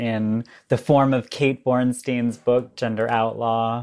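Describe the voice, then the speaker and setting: A woman with an American accent speaks very slowly in a very deep, low voice and a flat monotone. The recording is very clean, with a silent background. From upstate New York, Syracuse. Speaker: artist and filmmaker. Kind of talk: interview conversation.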